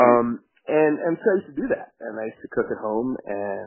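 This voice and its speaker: There is music in the background as a man speaks. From India. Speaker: chef and restaurant owner. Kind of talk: interview. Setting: phone call.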